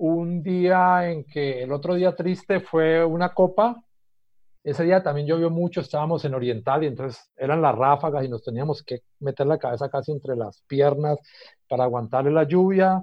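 A man with a plain, everyday voice speaks at a moderate pace, fairly high in pitch, with ordinary pitch variation. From Colombia, Cali area. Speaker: professor. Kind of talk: radio talk show.

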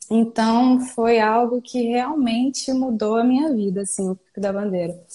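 Fairly high in pitch, a woman talks in an ordinary speaking voice. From Brazil, Espírito Santo. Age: 20s. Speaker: hiker and business owner. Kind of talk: casual interview. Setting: live online video call.

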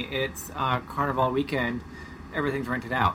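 Noticeable background noise runs through the clip. A man speaks with an American accent. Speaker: podcast co-host, sailing family father. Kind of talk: casual chat. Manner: radio-announcer voice briefly in intros.

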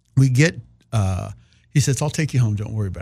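With an American accent, the speaker has a somewhat breathy voice and a dark, mellow tone. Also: man. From Kansas, small town. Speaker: playwright and performer. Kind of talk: casual interview chat.

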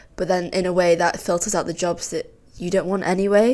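At a moderate pace, a woman talks in a plain, everyday voice with fairly low pitch and fairly even intonation, on a very clean recording with a silent background. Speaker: podcast co-host, architecture student. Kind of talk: casual chat.

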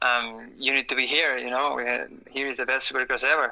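His voice has a bright, sharp tone and sits at a medium pitch for a man. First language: Spanish. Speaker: supercross racer. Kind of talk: casual interview. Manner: halting, many fillers and repeats.

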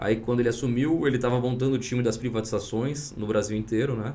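Audible room echo surrounds a dark, mellow voice delivered at a fairly quick pace with fairly even intonation. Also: man. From Espírito Santo, Brazil. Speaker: tech entrepreneur and former government official. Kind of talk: podcast interview.

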